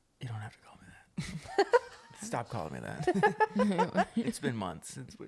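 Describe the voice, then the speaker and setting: Noticeable background noise behind a man talking at a fairly slow pace. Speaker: podcast co-host. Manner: casual, hesitant.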